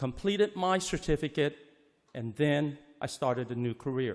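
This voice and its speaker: A man's fairly high voice in a Chinese accent, with very wide pitch swings. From Hong Kong, raised in US from age six. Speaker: auto body instructor. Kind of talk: public comment at board meeting. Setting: board meeting with audience. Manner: hurried.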